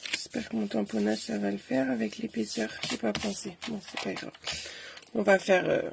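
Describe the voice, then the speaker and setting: A woman speaks at a moderate pace, and noticeable background noise can be heard around her. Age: 30s. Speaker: craft demonstrator. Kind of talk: live craft tutorial. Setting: livestream. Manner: casual, chatty.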